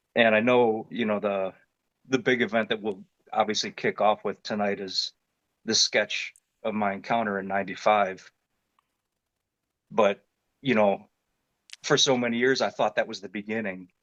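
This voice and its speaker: This man has a fairly low pitch and an Ohio accent. He talks at a moderate pace with fairly even intonation and long, frequent pauses. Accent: Midwestern American (Ohio). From Northeast Ohio (Independence, near Cleveland). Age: 50s. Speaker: construction worker and military veteran, witness. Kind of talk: testimony. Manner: casual, with many fillers.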